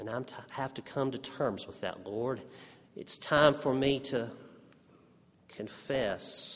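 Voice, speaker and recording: Speaking at a very slow pace with long, frequent pauses, a man keeps a medium pitch and ordinary pitch variation while his loudness swings widely. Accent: Texas Panhandle. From Texas panhandle, Amarillo. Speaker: preacher and seminary professor. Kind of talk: sermon. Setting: chapel service with congregation.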